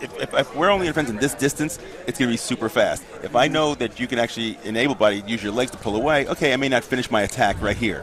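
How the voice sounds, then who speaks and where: A very fast man's voice at medium pitch, with ordinary pitch variation over noticeable background noise. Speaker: wheelchair fencing commentator, former fencer. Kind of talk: live sports commentary.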